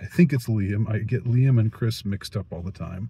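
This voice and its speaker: A man with an American accent speaks in a fairly low, somewhat breathy voice with a dark, mellow tone. His intonation is fairly even, and the sound is dry with no echo. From United States. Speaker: youtuber, film reviewer. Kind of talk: monologue film review. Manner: halting, many fillers and repetitions. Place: car. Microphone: phone near.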